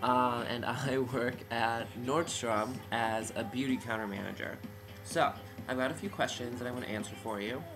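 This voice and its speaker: A man talks at a moderate pace and medium pitch with fairly even intonation. Music plays in the background, and room echo can be heard. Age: 20s. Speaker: beauty counter manager. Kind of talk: casual to-camera audition video. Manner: casual, rambling with fillers.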